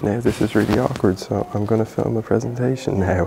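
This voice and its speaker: At a middling rate and with ordinary pitch variation, the speech plays over clearly audible background noise. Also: man. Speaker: vlogger. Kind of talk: vlog.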